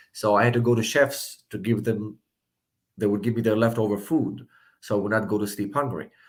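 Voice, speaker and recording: On a very clean recording with a silent background, a man with an Israeli accent speaks fairly quickly at a fairly low pitch, his intonation fairly even. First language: Hebrew. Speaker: political candidate. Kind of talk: interview.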